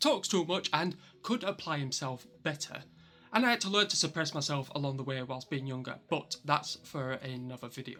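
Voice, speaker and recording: With a Yorkshire accent, a man talks at a moderate pace and a fairly high pitch. His intonation is lively, with music playing in the background. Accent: broad Yorkshire. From Yorkshire, northern England. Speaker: vlogger. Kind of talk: personal vlog monologue.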